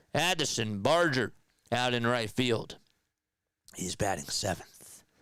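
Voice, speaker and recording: A man puts on a raspy character voice at medium pitch. He goes at a fairly slow pace with lively intonation. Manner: changed voice, sudden voice shift.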